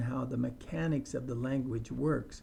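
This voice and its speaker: Somewhat breathy, a man with an American accent and a dark, mellow tone speaks at a fairly slow pace with medium pitch and ordinary pitch variation. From US, Idaho. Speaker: English teacher. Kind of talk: tutorial.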